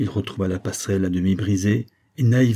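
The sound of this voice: The background stays quiet as an unforced reading voice goes on.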